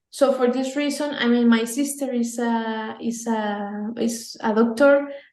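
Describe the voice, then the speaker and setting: The intonation is monotone and flat, with a Spanish accent. Room echo is audible. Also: woman, fairly high pitch for a woman, fairly slow pace. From Mexico. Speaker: pro-life campaign leader. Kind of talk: interview. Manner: halting.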